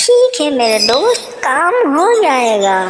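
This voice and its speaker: A cartoonish character voice, female-sounding, high-pitched for a woman, with very wide pitch swings. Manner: gentle, courteous.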